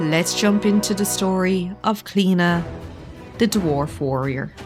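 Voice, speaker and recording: With music playing in the background, a woman talks at a fairly slow pace in an Irish accent. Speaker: gaming commentator. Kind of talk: casual gameplay commentary. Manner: soft-spoken, calm.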